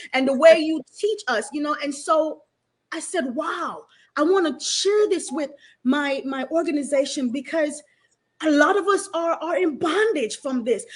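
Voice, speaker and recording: A high-pitched woman with a Jamaican accent, lively intonation and a fairly slow pace. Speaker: talk show host. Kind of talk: casual interview conversation.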